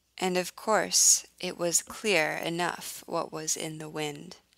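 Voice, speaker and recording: Here a woman speaks with an American accent at a very slow pace. The recording is very clean, with a silent background. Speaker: English teacher. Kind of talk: reading aloud.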